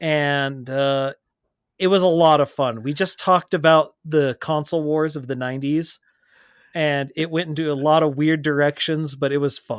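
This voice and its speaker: On a very clean recording with a silent background, a man with an American accent talks at a moderate pace in a fairly high voice with fairly even intonation. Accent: Texan accent, comes out at times. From Texas. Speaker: podcast co-host and streamer. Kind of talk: casual chat.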